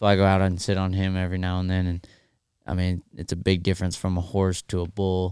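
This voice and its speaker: On a very clean recording with a silent background, a man with an American accent talks at a fairly quick pace in a very deep, low pitch and a monotone, flat intonation. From North Carolina, later Texas area. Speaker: professional bull rider. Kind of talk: casual interview chat.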